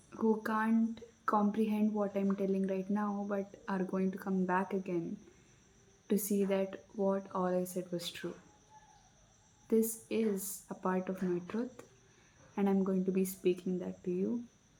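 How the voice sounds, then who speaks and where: A soft-spoken woman at a medium pitch, fairly slow and monotone, flat in intonation, with long, frequent pauses. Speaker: spiritual self-help video creator. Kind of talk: reflective guided talk. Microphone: no microphone, less audible.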